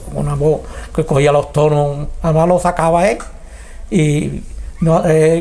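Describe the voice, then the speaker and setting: A man with an Andalusian accent talks at a very slow pace. There is noticeable background noise. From Arcos de la Frontera, Andalusia, Spain. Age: 70s. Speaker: retired carnival singer and lyricist. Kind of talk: interview answer.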